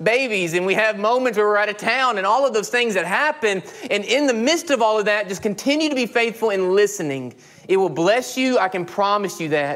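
A man talks at a fairly quick pace with lively intonation. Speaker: pastor. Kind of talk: sermon. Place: church.

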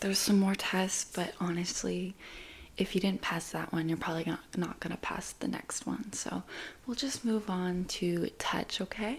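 This soft-spoken, somewhat breathy voice moves at a moderate pace. Its pitch variation is ordinary. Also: woman. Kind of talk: roleplay talk to viewer. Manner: soft, close ASMR speaking voice. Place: home room. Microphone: studio mic.

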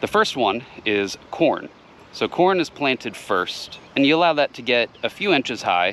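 A man talks at a moderate pace in an ordinary speaking voice with lively intonation, over light background noise, the sound dry with no echo. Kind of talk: tutorial. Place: garden. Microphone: phone near.

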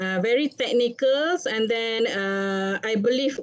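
Against a quiet background, a woman talks at a very slow pace. Her pitch is fairly high, with ordinary pitch variation. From Malaysia. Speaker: webinar moderator and nursing academic; webinar moderator. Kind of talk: moderating a webinar. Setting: video call. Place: office. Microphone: webcam.

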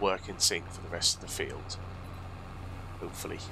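A man talks at a moderate speed while noticeable noise runs in the background. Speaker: gaming YouTuber. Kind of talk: casual gameplay commentary. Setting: home recording, voiceover while playing. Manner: relaxed, chatty, friendly.

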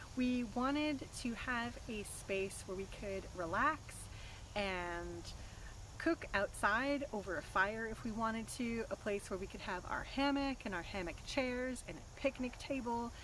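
A woman speaks at a fairly slow pace with ordinary pitch variation, in a dry sound with no echo and light background noise. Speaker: home project vlogger. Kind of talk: casual vlog chat. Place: forest. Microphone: camera far.

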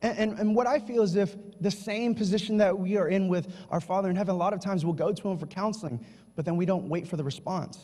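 Over a quiet background, a man talks very fast in a high voice with ordinary pitch variation. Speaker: preacher. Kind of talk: sermon. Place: church. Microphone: handheld.

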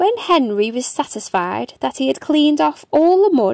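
With a high pitch, big pitch swings and vocal fry, a woman speaks at a moderate pace in a slightly mellow tone, the sound dry and close with no echo.

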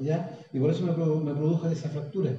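With audible room echo around him, a man talks at a high pitch. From Chile. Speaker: guest. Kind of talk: casual conversational talk on spirituality. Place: home room. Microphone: phone near.

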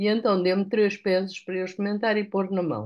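With a European Portuguese accent, a woman speaks at a moderate pace against a quiet background. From Portugal. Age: 70s. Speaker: product user giving testimonial. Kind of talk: testimony. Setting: video call, live. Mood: relieved, grateful. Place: home room. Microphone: video call.

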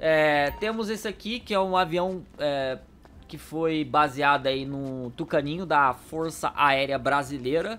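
A man's very slow, fairly high-pitched voice with a bright, sharp tone, recorded very cleanly against a silent background. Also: ordinary pitch variation. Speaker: gaming YouTuber. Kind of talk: casual gameplay commentary. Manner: animated.

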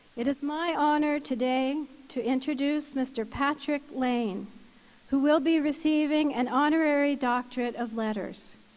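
Her pitch high, a woman speaks at a fairly slow pace with fairly even intonation. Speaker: ceremony presenter. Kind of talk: formal citation reading. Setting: university convocation ceremony. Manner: formal. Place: hall. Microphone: podium.

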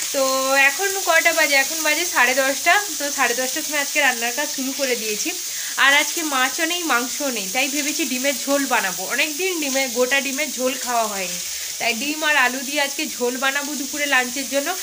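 With noticeable background noise around her, a woman uses a raised, projected voice with ordinary pitch variation. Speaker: home vlogger. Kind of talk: casual vlog chat. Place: kitchen. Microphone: phone near.

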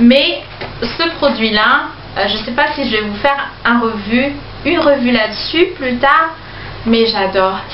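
Over light background noise and audible room echo, a woman speaks at a high pitch with ordinary pitch variation. She talks very slowly, with long, frequent pauses. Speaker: beauty vlogger. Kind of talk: product review haul. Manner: slow, chatty with many fillers. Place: home room. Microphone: phone near.

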